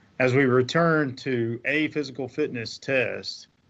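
This man speaks with fairly even intonation. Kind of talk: opening remarks. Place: office. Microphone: video call.

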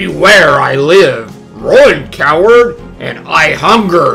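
With clear music in the background, a man in a put-on character voice speaks very slowly in a raised, projected voice at a high pitch. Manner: menacing, shouting.

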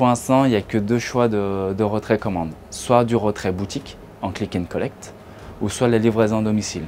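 A man with an unremarkable speaking voice talks at a fairly low pitch and a moderate pace over light background noise. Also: fairly even intonation. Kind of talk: interview answer. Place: shop. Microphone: lapel.

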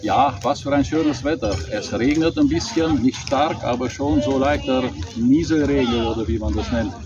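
A man speaks in a dry setting with no echo. Clear music plays behind him. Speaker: vlogger. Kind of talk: casual vlog chat. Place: street.

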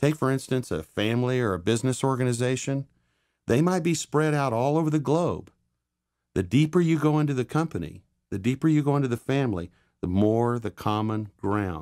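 Enthusiastic in tone, a man of medium pitch talks at a fairly quick pace with lively intonation. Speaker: course instructor. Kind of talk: lecture. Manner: conversational, enthusiastic.

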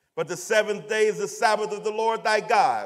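The speaker is male. Little can be heard behind him. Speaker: scripture reader. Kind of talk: scripture reading aloud. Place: church.

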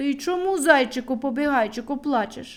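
Putting on a character voice, a woman speaks at a moderate pace with a high pitch. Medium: read story.

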